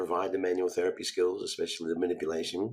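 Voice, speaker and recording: A man talks at a fairly quick pace. He has a slight Australian accent. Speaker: physical therapist and educator. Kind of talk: podcast interview.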